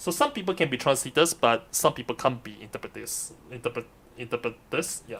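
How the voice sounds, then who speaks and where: The speaker talks at a fairly quick pace with a non-native accent, and the loudness swings widely. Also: man, medium pitch for a man, ordinary pitch variation. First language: Mandarin. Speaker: streamer and live interpreter. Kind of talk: live stream commentary. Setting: live stream. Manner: halting, self-correcting.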